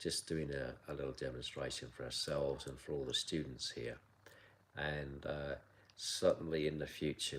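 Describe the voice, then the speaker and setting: A man with a very deep, low pitch and vocal fry speaks at a moderate pace. His tone is relaxed and his intonation monotone and flat. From south London (Sutton). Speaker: kung fu teacher. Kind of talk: live stream Q&A. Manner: casual, relaxed.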